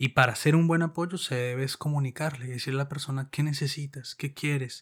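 Against a silent background in a very clean recording, a man speaks fairly quickly in a fairly high, somewhat breathy voice with monotone, flat intonation. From Colombia. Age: 30s. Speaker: podcast co-host. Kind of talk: casual chat.

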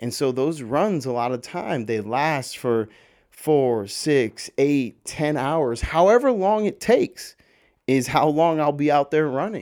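At a fairly slow pace, a man with a normal speaking voice uses lively intonation on a very clean recording with a silent background. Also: fairly high pitch for a man. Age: 20s. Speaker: podcast host. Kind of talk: casual solo monologue. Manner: casual, many fillers and repetitions.

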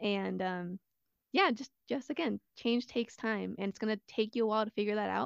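In a dry, close sound with no echo, a woman with a normal speaking voice and a fairly high pitch talks at a moderate pace. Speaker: ROTC cadet. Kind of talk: casual chat.

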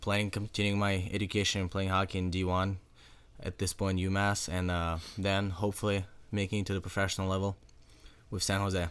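Monotone, flat intonation at a fairly quick pace. The loudness stays very even. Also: man, very deep, low pitch for a man. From Russia. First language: Russian. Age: young. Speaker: high school hockey player. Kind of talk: casual interview.

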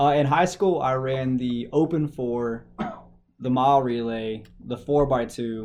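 This voice has a West Texas accent and ordinary pitch variation. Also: man. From West Texas (Shallow Water). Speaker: sports reporter and podcast co-host. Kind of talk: casual chat.

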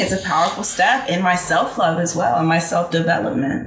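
Against noticeable background noise, the woman's delivery moves at a fairly quick pace. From Texas. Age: 20s. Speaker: singer and musician. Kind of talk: casual chat.

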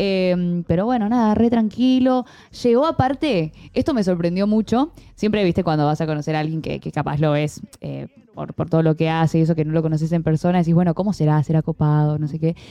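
Fairly low-pitched voice of a woman at a fairly quick pace. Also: lively intonation. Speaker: streaming show co-host. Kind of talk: casual chat.

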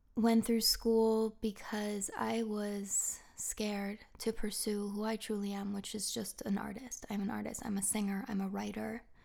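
Speaking very slowly, a woman with an American accent keeps a monotone, flat delivery at a fairly high pitch. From Massachusetts, US (Marblehead near Boston). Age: 30s. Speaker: podcast host, acupuncturist and personal trainer. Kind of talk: casual monologue.

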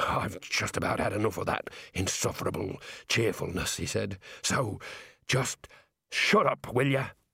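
Putting on a raspy, growling character voice at a medium pitch, a man speaks at a moderate pace with long, frequent pauses. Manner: growling, irritated.

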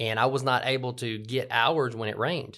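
A man with a Southern US accent, a bright, sharp tone and fairly even intonation, on a very clean recording with a silent background. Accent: Southern US (Georgia). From US South (LaGrange, Georgia). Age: 40s. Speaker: podcast host, business owner. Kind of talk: casual conversational podcast.

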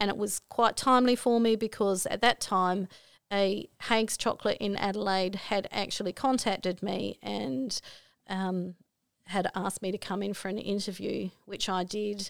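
A woman with an Australian accent is heard in a very clean recording with a silent background and a dry, close sound that has no echo. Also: medium pitch for a woman, fairly even intonation, moderate pace. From Australia, Broken Hill NSW. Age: 50s. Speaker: mother sharing life story. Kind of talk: life story interview.

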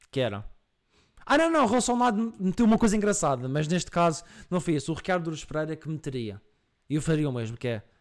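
A man with a Madeiran accent talks at a very fast pace, his fairly high pitch making very wide swings. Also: very clean recording, silent background. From Madeira, Portugal. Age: 20s. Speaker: streamer and podcast host. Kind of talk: casual live-stream chat. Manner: animated.

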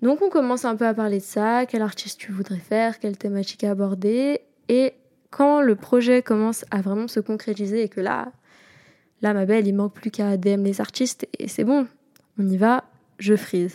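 At a moderate pace, a plain, everyday voice speaks with fairly even intonation in a dry, close sound with no echo. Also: woman, fairly high pitch for a woman. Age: 20s. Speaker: podcast host. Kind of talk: casual solo monologue.

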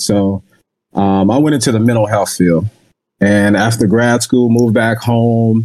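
With an American accent, a man speaks in a normal speaking voice at a moderate pace and a medium pitch. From Jacksonville, Florida. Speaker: baseball scout. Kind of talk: casual interview.

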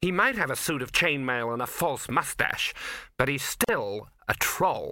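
It's an unforced reading voice. The intonation moves in a lively way.

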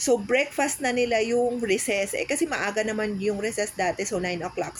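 Noticeable background noise runs under the recording. A woman speaks at a fairly high pitch. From Philippines, Cavite. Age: 40s. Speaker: podcast co-host. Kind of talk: casual chat.

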